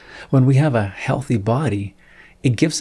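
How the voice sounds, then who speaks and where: A man speaks at a moderate pace in a dark, mellow, somewhat breathy tone, on a very clean recording with a silent background. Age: 40s. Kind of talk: religious reflection monologue.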